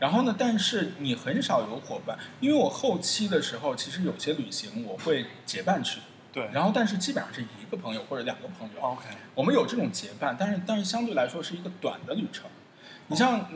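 A man speaks high in pitch with very wide pitch swings. Noticeable background noise sits behind him. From China. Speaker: traveller. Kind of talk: interview. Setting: indoor cafe. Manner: fast; hesitant fillers.

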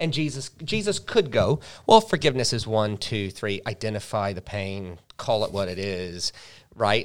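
On a very clean recording with a silent background, the speaker uses an American accent, a moderate pace and ordinary pitch variation. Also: man, fairly low pitch for a man. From US South, Charleston, South Carolina. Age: 40s. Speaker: pastor. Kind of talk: casual interview. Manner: animated storytelling.

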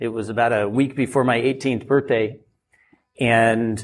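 With an American accent, a man speaks in a plain, everyday voice at a moderate pace with ordinary pitch variation, on a very clean recording with a silent background. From rural Oregon. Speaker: winemaker and winery owner. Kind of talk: live podcast interview. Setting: live event with audience.

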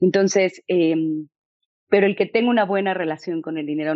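A woman's intense tone, with a Mexican accent. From Mexico. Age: 40s. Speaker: author. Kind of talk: interview. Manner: articulate, intense.

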